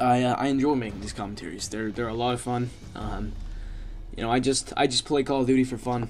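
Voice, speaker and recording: Mumbling from a man at medium pitch and a fairly quick pace, with noticeable background noise. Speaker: gaming commentator. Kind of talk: gameplay commentary. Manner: fast; mumbling, many fillers.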